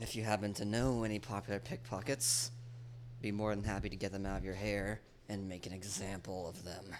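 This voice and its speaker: Putting on a character voice, a man speaks raspily at a fairly low pitch and a fairly quick pace, with fairly even intonation and clear background noise. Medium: actual play. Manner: formal, measured.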